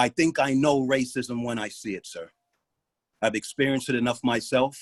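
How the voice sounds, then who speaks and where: A man with an American accent speaks at a moderate pace in a normal speaking voice, his medium pitch held in fairly even intonation, recorded dry and close with no echo. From New York City, South Bronx. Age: 60s. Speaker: retired police officer and parent. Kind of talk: public comment at a meeting.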